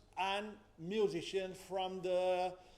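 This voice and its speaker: With audible room echo, a man with a high pitch talks at a very slow pace. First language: Catalan or Spanish. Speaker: musicology professor. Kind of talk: conference presentation. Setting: academic symposium. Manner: halting.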